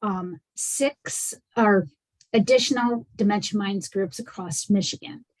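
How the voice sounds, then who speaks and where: A woman's medium-pitched voice comes out somewhat breathy. She moves at a fairly slow pace, her intonation lively. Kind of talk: presentation in online meeting.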